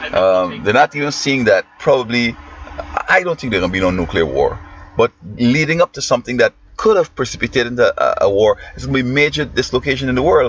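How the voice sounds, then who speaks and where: Very fast speech in a Guyanese accent, with a dry, close sound free of echo and noticeable background noise. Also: man. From Guyana. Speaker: teacher and commentator. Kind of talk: opinion monologue. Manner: halting.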